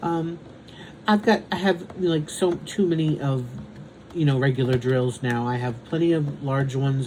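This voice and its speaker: Against noticeable background noise, a man talks at a moderate pace in a fairly high voice with ordinary pitch variation. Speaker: diamond painting content creator. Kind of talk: casual chat. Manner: halting.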